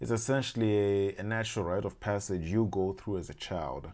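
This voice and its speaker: A Zimbabwean-accented man with a fairly low pitch, dark, mellow tone and ordinary pitch variation, in a very clean recording with a silent background. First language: Shona. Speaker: language learning YouTuber. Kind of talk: casual explainer monologue. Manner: halting, many fillers and restarts.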